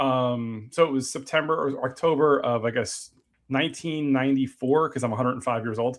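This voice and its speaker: With an American accent and an ordinary speaking voice, a man talks at a fairly quick pace in a medium pitch and fairly even intonation. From New Jersey. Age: 40s. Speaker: podcast host. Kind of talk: casual interview chat.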